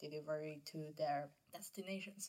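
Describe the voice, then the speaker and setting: Here a woman talks at a fairly low pitch. Her tone is bright and sharp. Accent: Cantonese. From Guangzhou, southern China. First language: Cantonese. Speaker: student podcast host. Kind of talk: interview. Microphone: poor recording quality.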